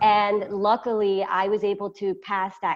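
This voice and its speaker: A fairly slow pace sets the rhythm. It is a woman's voice. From US, moved to a Spanish-speaking country at 12. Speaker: entrepreneur. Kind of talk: interview. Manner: halting.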